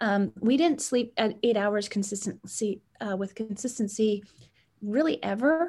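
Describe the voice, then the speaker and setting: A woman's dark, mellow, somewhat breathy tone at a medium pitch, with lively intonation and a moderate pace against a quiet background. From Canada (Edmonton, Alberta). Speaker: sleep technology entrepreneur. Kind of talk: interview.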